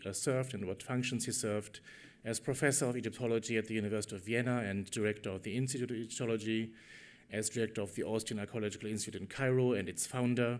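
The voice belongs to a man. He keeps a fairly even intonation. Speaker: conference host introducing keynote. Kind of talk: formal introduction speech. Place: hall. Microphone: podium.

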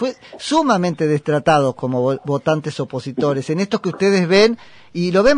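With a Rioplatense accent, a man talks at a moderate pace, his pitch swinging very widely, in a dry, close sound with no echo. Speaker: radio host. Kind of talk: radio interview. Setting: studio.

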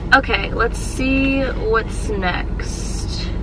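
A woman is talking with noticeable background noise behind her. The sound is dry, with no echo. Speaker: vlogger. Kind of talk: casual vlog chat. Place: car. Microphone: phone near.

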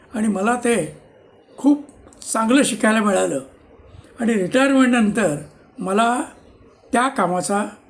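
A man speaks high in his range, his pitch varying in an ordinary way. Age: 70s. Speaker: retired civil engineer. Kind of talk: personal storytelling monologue.

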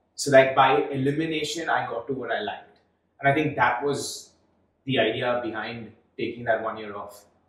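Audible room echo hangs around this man's voice. His intonation stays fairly even. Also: moderate pace. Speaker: startup founder. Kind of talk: interview. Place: studio.

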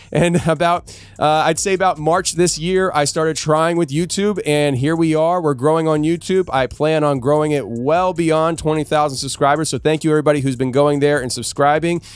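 A man speaks at a moderate pace with fairly even intonation and hardly any pauses. The sound is dry, with no echo. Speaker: podcast host. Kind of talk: podcast host announcements. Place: studio. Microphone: studio mic.

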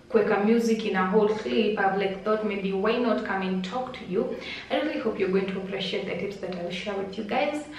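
A woman talks at a fairly quick pace, with light background noise and audible room echo. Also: ordinary pitch variation. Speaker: vlogger. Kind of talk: casual vlog chat. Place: home room. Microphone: phone near.

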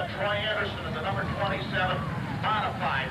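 A man speaks at a moderate pace. The background noise around him is loud. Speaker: track announcer. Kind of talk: commentary. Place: stadium.

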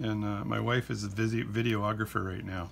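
A man speaks at a moderate pace. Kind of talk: tutorial. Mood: relaxed, humorous. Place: workshop. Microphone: phone near.

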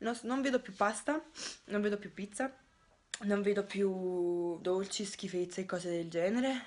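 A woman's speech moves at a fairly slow pace and shows ordinary pitch variation. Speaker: vlogger. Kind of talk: casual vlog chat. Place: home room. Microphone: phone near.

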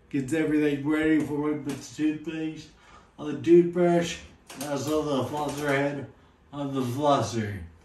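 A man speaks at a fairly slow pace with audible room echo and light background noise. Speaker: vlogger showing daily routine. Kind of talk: tutorial. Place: bathroom. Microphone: camera far.

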